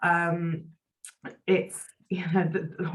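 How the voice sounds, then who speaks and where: A woman with a British accent speaks in a very deep, low, somewhat breathy voice with monotone, flat intonation. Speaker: employment law solicitor. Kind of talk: webinar presentation.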